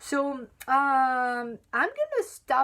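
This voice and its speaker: A woman speaks with a French accent. The recording is very clean, with a silent background. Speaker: chocolate sommelier and writer. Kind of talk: live stream Q&A. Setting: live video stream. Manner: halting, many fillers and restarts.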